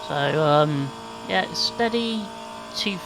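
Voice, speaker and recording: The pace is very slow. Noticeable background noise can be heard. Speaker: sim racing gamer. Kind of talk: gameplay commentary. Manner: halting, stumbling over words.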